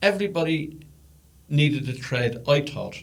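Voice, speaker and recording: There's audible room echo around a somewhat breathy man with an Irish accent. His voice is fairly high, with ordinary pitch variation. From Ireland. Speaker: podcast host's father. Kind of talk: casual chat. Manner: halting, repeats words.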